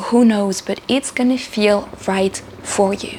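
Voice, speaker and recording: Against noticeable background noise, a woman with a fairly high pitch speaks at a moderate pace. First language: not English. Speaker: spiritual channel host. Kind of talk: spiritual talk to camera. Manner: halting, with repeated words.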